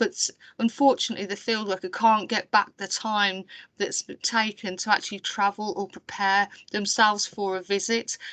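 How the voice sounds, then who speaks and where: Against a quiet background, a woman speaks with a Birmingham accent at a medium pitch and moderate pace. Her tone is bright and sharp, her intonation monotone and flat. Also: dry, close sound with no echo. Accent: Brummie. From Birmingham, England. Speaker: council IT programme staff presenting. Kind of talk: webinar presentation. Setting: online webinar.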